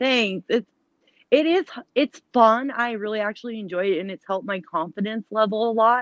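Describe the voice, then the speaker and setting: This woman has a normal speaking voice, pitched fairly high, with ordinary pitch variation, a moderate pace and a dry, close sound with no echo. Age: 30s. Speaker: live streamer. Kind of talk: casual chat. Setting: live stream.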